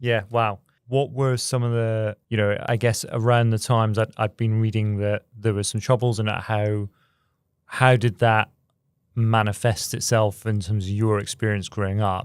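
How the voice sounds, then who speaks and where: A man speaks at a moderate pace in a fairly low, monotone voice with flat intonation, in a very clean recording with a silent background. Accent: Scottish. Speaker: podcast host. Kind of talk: interview conversation.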